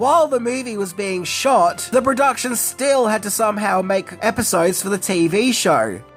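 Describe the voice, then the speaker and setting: Someone with an Australian accent speaks at a moderate pace while music plays in the background. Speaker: YouTube commentator. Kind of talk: casual commentary narration.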